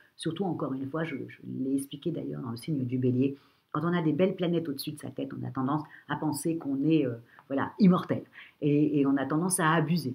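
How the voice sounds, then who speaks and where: Fairly quick speech from a woman with a very deep, low pitch. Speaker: astrologer. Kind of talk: horoscope reading. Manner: hesitant, many fillers.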